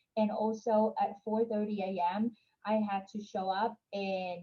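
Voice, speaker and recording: A somewhat breathy woman's voice at medium pitch, with a Vietnamese accent. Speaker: entrepreneur. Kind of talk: interview.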